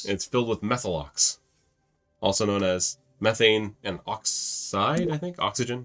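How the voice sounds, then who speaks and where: Over music in the background, a man speaks at a fairly slow pace with a medium pitch and lively intonation. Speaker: gaming YouTuber. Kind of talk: casual instructional talk while gaming.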